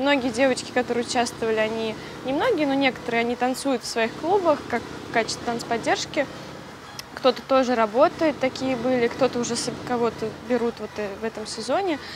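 A woman speaks at a fairly quick pace in a high pitch with ordinary pitch variation. Music plays in the background, and the sound is dry with no echo. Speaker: interview guest. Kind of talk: interview answer. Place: cafe. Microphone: lapel.

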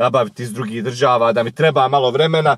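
A man speaks against a quiet background. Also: dry sound with no echo. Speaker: car vlogger. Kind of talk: casual vlog chat. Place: car. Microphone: phone near.

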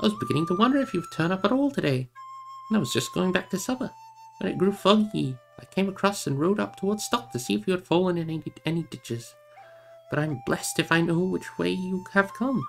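A man puts on a character voice, pitched high with vocal fry and lively intonation. He talks at a fairly quick pace while faint music plays in the background.

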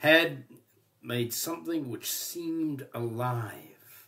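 The pace is very slow, and the background is quiet. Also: man. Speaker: storyteller. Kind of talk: reading a children's story aloud. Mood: warm, gentle storytelling. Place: home room. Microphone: webcam.

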